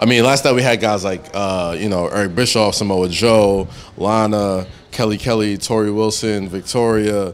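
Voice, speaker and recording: A normal speaking voice at a moderate pace, fairly even in intonation, over light background noise. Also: man. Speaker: interview guest. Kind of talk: interview answer. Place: home room. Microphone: handheld.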